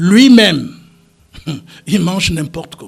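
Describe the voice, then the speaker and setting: Pitched high, a man's voice moves at a very slow pace. Its pitch variation is ordinary. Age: 70s. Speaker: politician, party founder. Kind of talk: radio talk show interview. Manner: animated.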